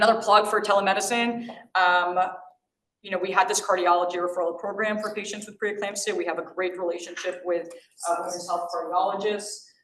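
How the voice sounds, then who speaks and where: A woman with an American accent speaks at a fairly quick pace and medium pitch, her intonation flat and monotone, her loudness swinging widely, with audible room echo. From New York. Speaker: physician giving grand rounds lecture. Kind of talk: lecture. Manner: fast.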